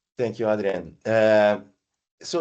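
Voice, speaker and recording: A speaker with an Italian accent talks against a quiet background. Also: man. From Italy. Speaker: payments partnership lead. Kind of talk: podcast interview. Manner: halting, many fillers.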